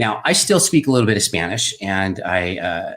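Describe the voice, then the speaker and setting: This man has a plain, everyday voice and an American accent. He talks at a moderate pace with a fairly low pitch. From Southern California, US. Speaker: wine and drinks video host. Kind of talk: casual personal storytelling livestream. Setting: home studio. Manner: casual, many fillers.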